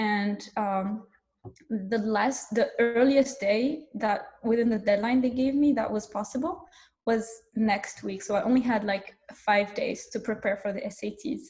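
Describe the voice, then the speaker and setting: A woman speaks at a fairly slow pace in a somewhat breathy voice. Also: fairly high pitch for a woman, ordinary pitch variation. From Morocco. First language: French and Arabic. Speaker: startup co-founder. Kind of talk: panel talk. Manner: casual, with many fillers.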